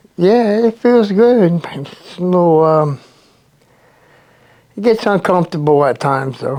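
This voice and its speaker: A man with an American accent speaks at a high pitch in a dark, mellow tone, with lively intonation. His pace is fairly slow, with long, frequent pauses. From New Jersey. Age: 60s. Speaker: recovery program resident. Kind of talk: interview testimony. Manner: casual, filler-heavy.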